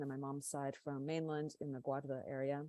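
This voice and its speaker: Speaking at a moderate pace with an American accent, a woman has a very deep, low voice with a dark, mellow tone. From California, US. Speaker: panelist, Portuguese-American community leader. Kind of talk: panel discussion introduction.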